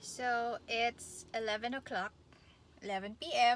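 A woman's voice, dry and echo-free, with music in the background. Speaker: vlogger. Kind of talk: casual vlog chat. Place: car. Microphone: phone near.

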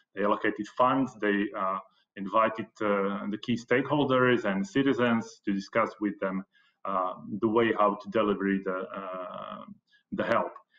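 A Slovak accent at a moderate pace, with ordinary pitch variation over a quiet background. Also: man, fairly low pitch for a man. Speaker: economics professor. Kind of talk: conference presentation. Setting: video call. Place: home room. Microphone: webcam.

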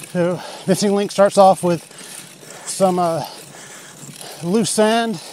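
A woman speaks with fairly even intonation in a dry sound with no echo, over light background noise. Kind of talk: ride narration with trail directions. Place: bicycle. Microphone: phone near.

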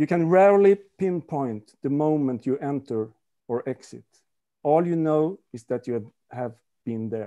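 A man with a Swedish accent, fairly high pitch and a dark, mellow tone, at a fairly slow pace with long, frequent pauses against a quiet background. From Sweden. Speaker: author. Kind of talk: reading aloud. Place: home room. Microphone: video call.

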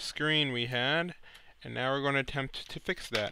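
A man speaks at a fairly quick pace with fairly even intonation and a bright, sharp tone, in a dry sound with no echo. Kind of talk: tutorial.

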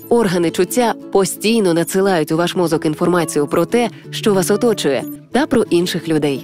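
Over music in the background, a woman with a fairly low pitch talks at a moderate pace with lively intonation. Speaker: radio host, announcer. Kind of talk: educational cartoon voice-over narration.

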